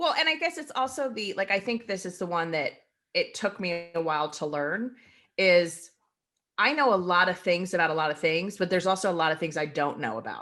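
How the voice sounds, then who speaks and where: A loud woman with an animated, bright, sharp tone at a fairly quick pace against a quiet background. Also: medium pitch for a woman, lively intonation. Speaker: podcast co-host. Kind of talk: casual chat.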